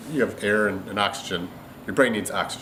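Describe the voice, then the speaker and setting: A man talks fairly quickly, his intonation lively, with noticeable background noise behind him. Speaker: jiu jitsu instructor. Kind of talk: tutorial. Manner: casual; fast.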